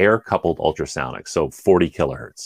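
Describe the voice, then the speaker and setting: Speaking with a Canadian accent, a man shows vocal fry. The recording is very clean with a silent background and a dry, close sound with no echo. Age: 40s. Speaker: engineer. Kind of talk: casual chat.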